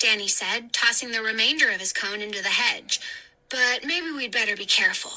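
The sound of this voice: The intonation is lively. It comes in an unforced reading voice.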